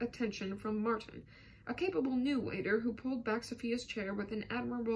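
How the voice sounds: Natural reading voice throughout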